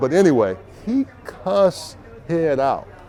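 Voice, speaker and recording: Animated man with an American accent, fairly high pitch and very wide pitch swings, music in the background. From Texas. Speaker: interview host, former NFL player. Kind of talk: casual interview chat. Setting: bar or shop.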